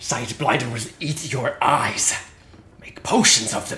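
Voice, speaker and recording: In a put-on character voice, a man speaks with a fairly high pitch and a raspy sound. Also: fairly slow pace. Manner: menacing.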